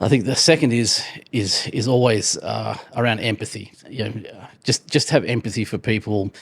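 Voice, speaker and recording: This man has a medium pitch with ordinary pitch variation and vocal fry, speaking at a moderate pace. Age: 60s. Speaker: entrepreneur and business author. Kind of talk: interview. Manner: halting, many fillers and repetitions.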